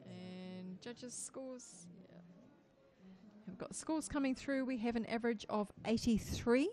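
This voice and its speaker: In a New Zealand accent, a woman speaks fairly slowly at a fairly high pitch. Her loudness swings widely, while her pitch varies in an ordinary way. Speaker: judging panel chair. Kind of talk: competition judging moderation. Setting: judging room, livestream.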